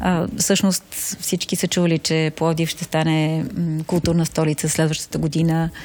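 Over noticeable background noise, a woman with a fairly low pitch speaks at a fairly slow pace in a monotone, flat intonation, with hardly any pauses. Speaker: city project coordinator. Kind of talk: interview.

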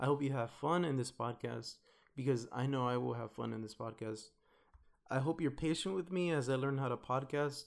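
The voice has an American accent and moves at a moderate pace. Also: man. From US West Coast, Watts, Los Angeles. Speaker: podcast host, university student. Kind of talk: casual monologue intro.

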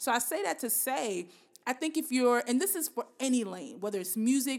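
A woman speaks at a moderate pace. Her pitch is fairly high. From Bronx, New York. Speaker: podcast host. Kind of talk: casual interview chat.

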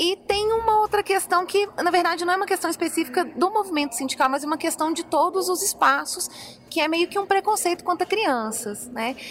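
A woman speaks at an extremely high pitch with lively intonation. Her pace is fairly quick, with noticeable background noise. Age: 30s. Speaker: biologist and union member. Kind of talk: interview. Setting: union congress.

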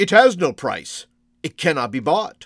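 A man puts on a character voice, fairly high for a man and fairly bright in tone. He talks at a fairly slow pace with big pitch swings.

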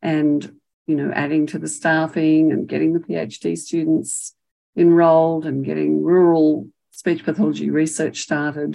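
Her words come at a fairly slow pace. The speaker is a woman with an Australian accent. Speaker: retired professor and speech pathologist. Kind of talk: elder life story, reflective oral history. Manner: reflective, warm and passionate, measured.

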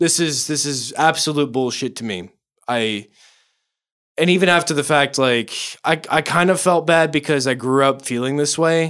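In a very clean recording with a silent background, a man with a fairly high pitch talks at a moderate pace in an ordinary speaking voice, with ordinary pitch variation. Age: 20s. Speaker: podcast guest, band member. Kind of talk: casual chat.

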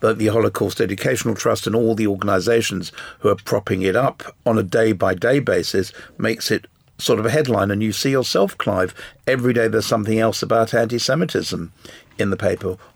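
The speech comes at a very fast pace in an English accent. Loudness stays very even, with ordinary pitch variation. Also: man, medium pitch for a man. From England. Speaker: business owner, panelist. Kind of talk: panel discussion. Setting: studio.

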